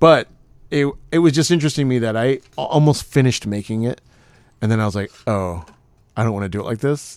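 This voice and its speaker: On a very clean recording with a silent background, a man of medium pitch talks very fast with lively intonation. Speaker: magician and podcast host. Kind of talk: casual chat.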